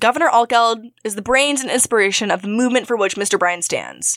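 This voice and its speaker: A woman talks at a very fast pace in a dramatic tone, the sound dry and close with no echo. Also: very clean recording, silent background. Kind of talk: reading aloud historical newspaper quotes. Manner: indignant, formal, dramatic.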